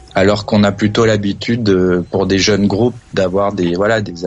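A man at a fairly low pitch, talking at a fairly slow pace in a monotone, flat intonation, with music in the background. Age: 30s. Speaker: radio show caller. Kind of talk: casual chat. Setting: phone call.

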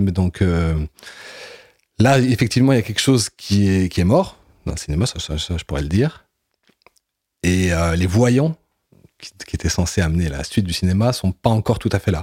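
A man with a very deep, low pitch and a dark, mellow tone talks at a fairly quick pace, broken by long, frequent pauses. His pitch varies in an ordinary way, and the sound is dry and close with no echo. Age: 40s. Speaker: comic book writer and filmmaker. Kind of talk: interview. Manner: halting, many hesitations.

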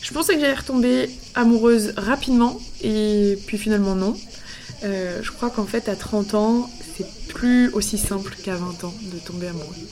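Noticeable background noise runs under this recording. A woman speaks at a fairly high pitch with ordinary pitch variation. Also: moderate pace. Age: 30s. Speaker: podcast host. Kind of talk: scripted narration.

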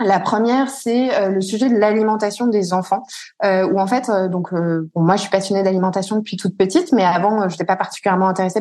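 A woman talks at a very fast pace. Her tone is dark and mellow. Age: 30s. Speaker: entrepreneur and mother. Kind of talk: interview. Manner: halting, many fillers.

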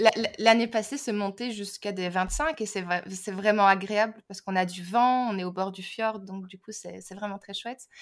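A woman talks at a moderate pace in a medium pitch. Her intonation is fairly even, but her loudness swings widely. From Belgium. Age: 30s. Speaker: language teacher and teacher trainer. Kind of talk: casual interview chat. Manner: hesitant, many fillers.

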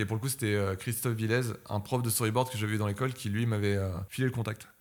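In a flat, monotone intonation, a man at medium pitch speaks at a very fast pace. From France, Paris. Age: 20s. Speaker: animator. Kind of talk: casual chat.

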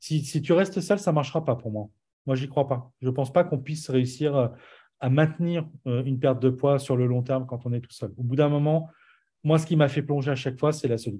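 This voice has a dark, mellow tone, somewhat breathy, at a fairly quick pace with ordinary pitch variation. The recording is very clean, with a silent background. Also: man, fairly high pitch for a man. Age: 40s. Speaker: entrepreneur and musician. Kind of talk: casual interview.

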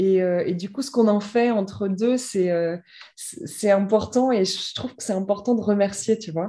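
A woman speaks at a fairly slow pace in a medium pitch, with ordinary pitch variation and big swings in loudness. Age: 30s. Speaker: author. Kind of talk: personal testimony. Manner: halting, many repetitions and fillers.

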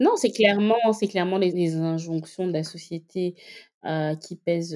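At a fairly slow pace, a woman speaks in a dark, mellow tone on a very clean recording with a silent background. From Gabon, Libreville. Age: 30s. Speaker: digital marketing consultant. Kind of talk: interview. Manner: hesitant, many fillers.

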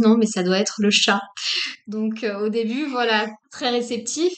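A woman speaks at a very slow pace. Her fairly high pitch shows ordinary variation. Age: 40s. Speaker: medium. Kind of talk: interview about personal path and spirituality. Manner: halting, many fillers and repetitions.

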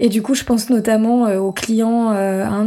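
A dark, mellow tone speaks in a monotone, flat intonation on a very clean recording with a silent background. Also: woman. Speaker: entrepreneur and podcast host. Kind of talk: solo storytelling podcast. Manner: hesitant, many fillers.

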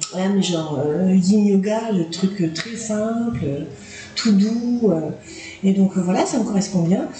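Against noticeable background noise and audible room echo, a woman at medium pitch speaks very slowly with long, frequent pauses and ordinary pitch variation. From New Caledonia. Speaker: podcast guest. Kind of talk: interview. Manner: hesitant, lots of fillers.

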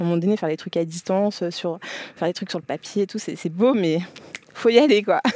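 At a fairly quick pace, a woman talks with a medium pitch and ordinary pitch variation, leaving long, frequent pauses. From France. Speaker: entrepreneur, leather goods brand founder. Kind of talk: interview, casual conversation. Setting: her office. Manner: lively.

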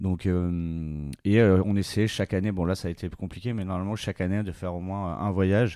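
A man with a very deep, low pitch and a dark, mellow tone speaks at a moderate pace with fairly even intonation and hardly any pauses, in a very clean recording with a silent background. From Bordeaux, southwest France. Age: 30s. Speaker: clothing brand co-founder. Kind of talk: interview. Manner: hesitant, many fillers.

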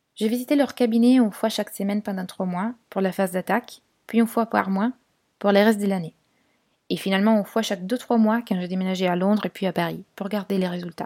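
In a dry, close sound with no echo and a very clean recording with a silent background, a woman speaks very fast at a medium pitch with a dark, mellow tone and fairly even intonation. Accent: Italian. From Italy, Turin. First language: Italian (speaking French). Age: 20s. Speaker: podcast guest sharing personal experience. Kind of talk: personal testimony.

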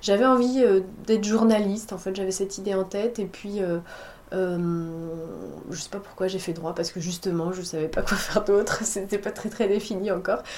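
A woman with a medium-pitched voice speaks at a moderate pace with fairly even intonation. Noticeable background noise is present. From western France, La Rochelle. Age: 30s. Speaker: food entrepreneur. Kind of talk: interview. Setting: office. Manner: hesitant, many fillers.

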